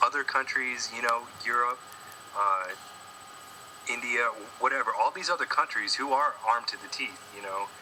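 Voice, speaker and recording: A man speaks at a moderate pace, with long and frequent pauses. Noticeable background noise runs under his voice. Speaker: Marine veteran. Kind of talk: heated debate. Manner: halting.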